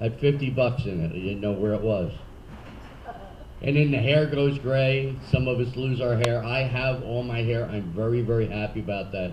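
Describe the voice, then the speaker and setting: With a Philadelphia accent, the speaker talks at a moderate pace with ordinary pitch variation and audible room echo. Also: man, medium pitch for a man. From Philadelphia, US. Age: 60s. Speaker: comedian. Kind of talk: stand-up. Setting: stage with audience.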